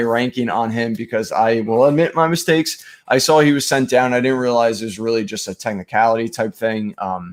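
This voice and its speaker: Speaking fairly quickly with hardly any pauses, a man keeps a medium pitch and ordinary pitch variation. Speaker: fantasy baseball streaming host. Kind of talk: live stream sports analysis. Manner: fast; hesitant with many fillers.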